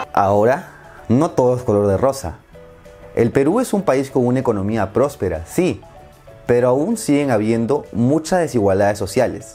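A man with a Peruvian accent at a moderate pace, lively in intonation, with faint music in the background. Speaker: Spanish teacher. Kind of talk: language lesson narration. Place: home room. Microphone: lapel.

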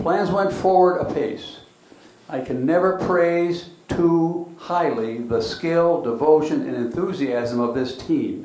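A man speaks with lively intonation, and room echo is audible. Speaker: panelist. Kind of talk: reading aloud historical remarks. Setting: community center with audience. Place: hall. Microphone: handheld.

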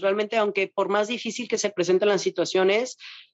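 A woman's medium-pitched voice with a Mexican accent and fairly even intonation, against a quiet background. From Mexico. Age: 20s. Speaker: bodybuilding athlete; interviewee. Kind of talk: interview. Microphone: video call.

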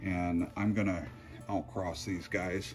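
Faint music plays behind a man whose voice sits fairly low in pitch. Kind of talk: casual vlog chat. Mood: admiring, enthusiastic. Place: garden. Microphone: phone near.

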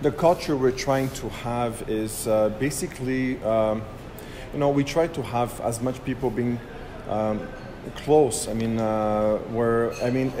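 Noticeable background noise sits behind a man speaking at a fairly slow pace with fairly even intonation. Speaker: guest. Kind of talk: interview answer. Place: bar.

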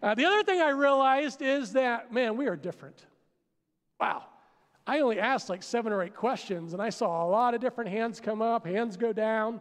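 Against a quiet background, a man with an American accent speaks at an extremely high pitch. He talks at a fairly quick pace with ordinary pitch variation. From Pennsylvania, US. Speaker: pastor. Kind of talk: sermon. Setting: church with congregation. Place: stage. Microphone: headset.

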